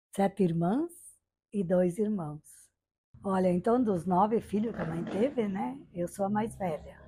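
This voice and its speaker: Somewhat breathy and dark, mellow in tone, a woman speaks at a fairly slow pace with medium pitch and ordinary pitch variation. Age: 70s. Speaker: interviewee sharing life memories. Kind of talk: oral history testimony. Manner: conversational, frequent fillers.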